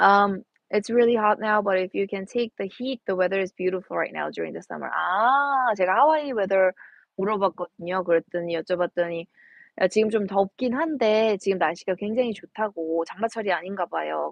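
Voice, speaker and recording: Speaking at a very fast pace, a woman with an American accent uses a medium pitch. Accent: Korean American. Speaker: golf instructor. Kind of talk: live stream chat. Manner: code-switching Korean and English.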